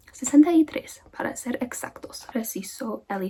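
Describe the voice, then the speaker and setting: The voice is soft-spoken with a calm tone, moving at a fairly slow pace. Noticeable background noise sits behind it. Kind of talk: soft-spoken ASMR audiobook reading. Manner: soft-spoken, calm.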